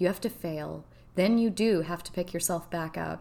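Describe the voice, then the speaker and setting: In a very clean recording with a silent background, a woman speaks at a moderate pace with a fairly low pitch, vocal fry and fairly even intonation. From Kentucky. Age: 40s. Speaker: podcast host. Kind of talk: personal monologue. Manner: hesitant with fillers.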